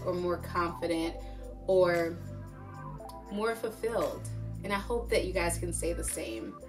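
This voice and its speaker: A woman is speaking. Clear music plays behind her. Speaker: hair care vlogger. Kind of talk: casual vlog chat. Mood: upbeat, warm, encouraging. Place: home room.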